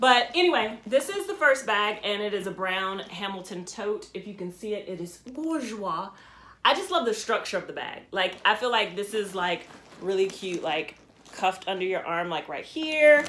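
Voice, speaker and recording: A woman with a medium pitch speaks at a moderate pace with lively intonation. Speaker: fashion vlogger. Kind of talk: casual show-and-tell vlog. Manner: halting, many ums.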